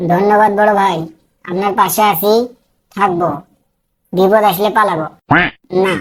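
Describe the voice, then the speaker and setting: A cartoonish character voice speaks at a moderate pace in a monotone, flat intonation. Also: woman, medium pitch for a woman. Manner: eager, flattering.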